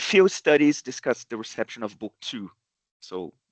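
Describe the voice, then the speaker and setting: A man speaks in a Brazilian accent. The sound is dry and close with no echo, over a quiet background. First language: Portuguese. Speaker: professor. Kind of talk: academic seminar talk. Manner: halting, many fillers.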